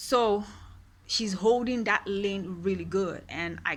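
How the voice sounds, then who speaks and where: With a Nigerian accent, a woman speaks in an animated, bright and sharp tone on a very clean recording with a silent background. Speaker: queer rights vlogger. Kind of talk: personal monologue.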